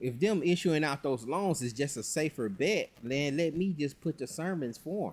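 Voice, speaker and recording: Speaking at a fairly slow pace with lively intonation, a man has an unremarkable speaking voice, captured in a very clean recording against a silent background. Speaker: religious teacher. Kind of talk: casual commentary to camera on religion. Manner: relaxed, conversational.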